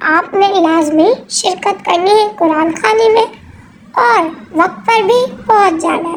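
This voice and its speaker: Cartoonish character voice, female-sounding and extremely high in pitch, at a fairly slow pace. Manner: polite, earnest.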